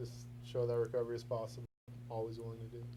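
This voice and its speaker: Here a man speaks in a dark, mellow tone. His voice is somewhat breathy. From born in London, raised in US from age seven. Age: 30s. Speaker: recovering addict. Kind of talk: testimony.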